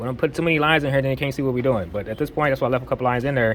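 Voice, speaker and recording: Music plays behind a man speaking at a medium pitch. He talks very fast with ordinary pitch variation. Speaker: drafting instructor. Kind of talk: tutorial. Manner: casual, conversational.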